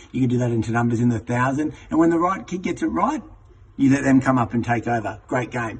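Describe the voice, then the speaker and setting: Very fast and somewhat breathy, a man of medium pitch speaks with ordinary pitch variation. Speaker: teacher trainer. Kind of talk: tutorial.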